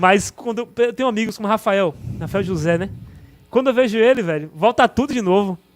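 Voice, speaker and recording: This man's voice sits high for a male, carrying ordinary pitch variation as he moves along at a fairly quick pace. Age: 30s. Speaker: mayor. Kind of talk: podcast interview. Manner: fast.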